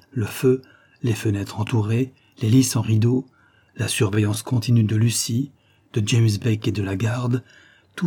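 Delivered in a natural reading voice, the speech keeps fairly even intonation.

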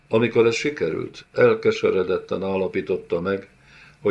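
A passage is being read aloud. The delivery sounds natural.

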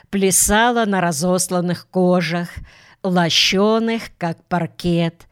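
Pitch rises and falls in an ordinary way during plain reading aloud.

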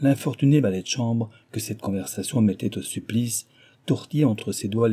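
A natural voice reading aloud, with ordinary pitch variation

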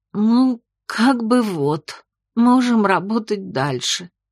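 Using a put-on character voice, a woman speaks very slowly at a fairly high pitch with lively intonation.

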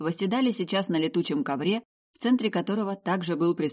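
The speaker has an unforced reading voice. The background is quiet.

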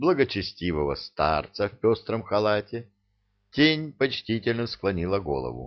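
It is an unforced reading voice set against a quiet background.

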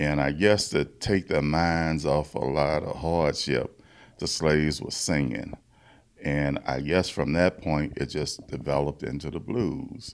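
In a Louisiana accent, a speaker with vocal fry talks at a fairly slow pace with ordinary pitch variation on a very clean recording with a silent background. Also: man, very deep, low pitch for a man. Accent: US South (Louisiana). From Louisiana, Baton Rouge. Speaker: blues musician. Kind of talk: interview.

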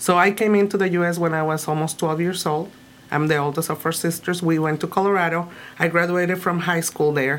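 Here a woman with a Spanish accent speaks at a fairly quick pace. Her pitch is fairly low and her intonation fairly even. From Mexico, Tijuana. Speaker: immigrant rights activist. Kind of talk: interview.

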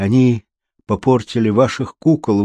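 Over a quiet background comes plain reading aloud.

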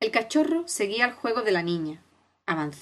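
The background stays quiet. Someone reads in a natural voice.

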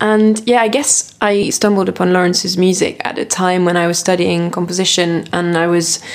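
There is noticeable noise in the background. A woman talks with fairly even intonation. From France and Britain. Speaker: composer and singer. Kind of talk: interview chat about music.

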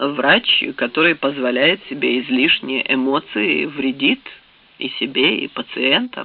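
The passage is delivered in a natural reading voice. Each line is read out in that manner.

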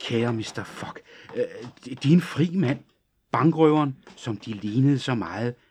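A text is read out in a natural voice. Little sound comes from the surroundings.

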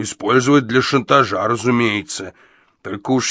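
Someone is reading aloud in a natural voice. Pitch varies in an ordinary way.

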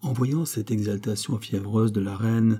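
The text is read aloud in a natural voice. Fairly even intonation runs throughout.

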